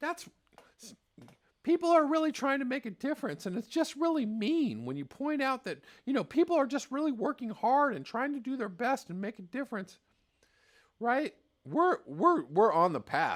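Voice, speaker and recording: A man uses a put-on character voice pitched extremely high, with lively intonation. He speaks at a moderate pace on a very clean recording with a silent background. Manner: mocking, fake-nice.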